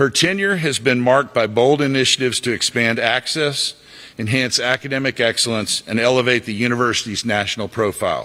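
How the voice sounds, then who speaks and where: With a bright, sharp tone, a man speaks at medium pitch with ordinary pitch variation. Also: fairly quick pace. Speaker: alumni board president. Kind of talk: ceremony speech. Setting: stage with audience. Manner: formal.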